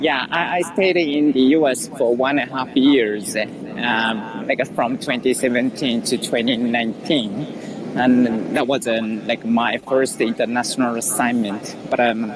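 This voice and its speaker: A man in a Japanese accent speaks at a fairly slow pace with hardly any pauses, his medium pitch showing ordinary variation. His loudness stays very even, with noticeable background noise behind him. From Japan, Osaka. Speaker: accountant. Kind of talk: casual chat. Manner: halting.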